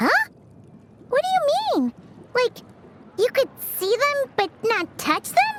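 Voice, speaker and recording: A cartoonish character voice at an extremely high pitch talks with long, frequent pauses. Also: fairly slow pace. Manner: excitable, chatty.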